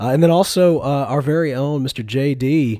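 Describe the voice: A man's medium-pitched voice with a dark, mellow tone and ordinary pitch variation. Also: moderate pace.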